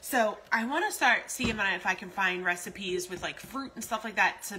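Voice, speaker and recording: Light background noise sits behind a woman's voice. She talks fairly quickly with ordinary pitch variation. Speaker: food vlogger. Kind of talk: casual vlog chat, live-stream style reading comments. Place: kitchen. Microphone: phone near.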